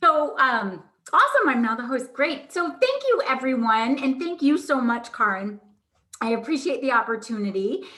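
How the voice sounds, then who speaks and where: A woman projects a raised voice at a high pitch. Her intonation is lively. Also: moderate pace. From Vermont. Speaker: marketing agency owner. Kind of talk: workshop presentation. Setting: video call.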